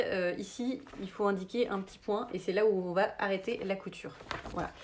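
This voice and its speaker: The voice is a woman's, pitched in the medium range. Its pitch variation is ordinary. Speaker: sewing teacher. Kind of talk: tutorial. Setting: livestream. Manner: halting, many hesitations.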